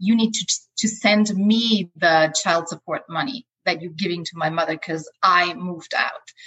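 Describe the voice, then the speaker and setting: The speaker, with an Austrian accent, keeps a moderate pace. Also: woman, fairly low pitch for a woman, ordinary pitch variation. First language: German. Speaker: life coach. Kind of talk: interview. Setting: video call.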